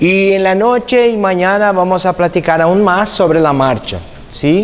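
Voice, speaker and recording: A high-pitched man with a Brazilian accent at a fairly slow pace, over noticeable background noise. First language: Portuguese (speaking Spanish). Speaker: physiotherapy instructor. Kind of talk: lecture.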